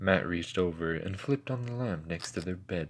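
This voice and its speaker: Lively intonation at a moderate pace. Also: man. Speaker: amateur narrator. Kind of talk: horror story reading. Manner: occasional stutters.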